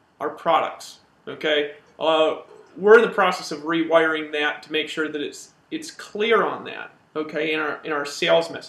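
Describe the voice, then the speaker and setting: Speaking at a moderate pace, a man has a fairly high pitch. His intonation stays fairly even. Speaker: network marketing company co-founder. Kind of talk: live training webinar. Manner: hesitant with many repeated words.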